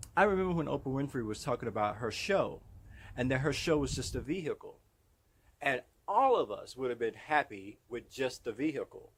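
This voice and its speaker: Ordinary pitch variation marks this fairly quick delivery. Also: man. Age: 60s. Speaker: motivational vlogger. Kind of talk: motivational monologue. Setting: outdoors in his yard. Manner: animated.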